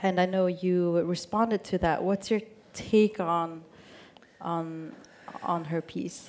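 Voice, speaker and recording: A woman speaks very slowly with long, frequent pauses. Her fairly low voice keeps a fairly even intonation. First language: Swedish. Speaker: radio journalist. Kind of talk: onstage interview. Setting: stage with audience.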